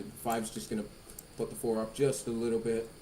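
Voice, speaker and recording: A man talks at a fairly quick pace with a fairly low pitch. The room echo is audible. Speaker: sim racing commentator. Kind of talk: live commentary. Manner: loud.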